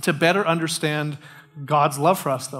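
A man talking at a very fast pace against a quiet background. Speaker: pastor. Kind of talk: sermon. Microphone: headset.

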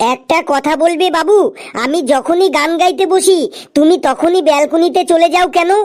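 A cartoonish character voice pitched extremely high moves along at a moderate pace. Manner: nagging, indignant.

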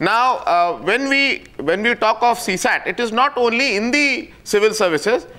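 A man with an Indian accent speaks in a raised, projected voice at an extremely high pitch, with lively intonation, very even loudness and a moderate pace. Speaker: association representative, debate panelist. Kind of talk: heated debate. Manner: measured, hesitant. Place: studio.

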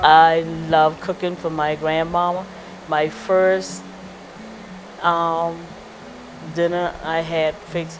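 Over music in the background, a woman in a South Carolina Lowcountry accent speaks very slowly with long, frequent pauses, her fairly low voice in a monotone, flat intonation. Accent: Gullah, Lowcountry South Carolina. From Georgetown County, South Carolina. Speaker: Gullah artist. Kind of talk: interview answer. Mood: warm, smiling reminiscence. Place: home room. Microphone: lapel.

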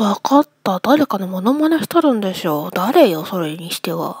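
This woman uses a put-on character voice at a medium pitch, with very wide pitch swings. She talks at a moderate pace, and the sound is dry and close with no echo. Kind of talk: comic sketch acting. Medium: comedy sketch. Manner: suspicious, teasing.

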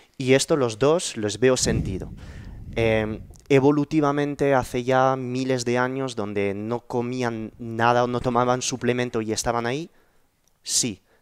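A man talks at a fairly slow pace with fairly even intonation. The background is quiet. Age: 30s. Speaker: YouTube podcast host; podcast host. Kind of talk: interview conversation. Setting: in person at home. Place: home room. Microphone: headset.

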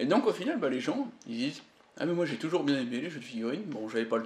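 His pitch varies in a normal way. This man talks very fast. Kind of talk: casual chat.

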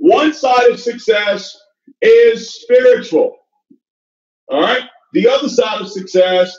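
Against a quiet background with audible room echo, a man talks at a very slow pace with long, frequent pauses. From Nigeria. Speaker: network marketing leader. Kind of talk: motivational talk. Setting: stage with audience. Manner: animated. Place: home room. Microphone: video call.

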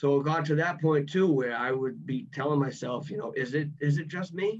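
Over a quiet background, a man with a Boston accent speaks at a moderate pace. His pitch is fairly high, with ordinary pitch variation. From Massachusetts. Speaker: former college athlete; podcast guest. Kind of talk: podcast interview answer. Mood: reflective, recalling frustration. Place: home room. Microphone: video call.

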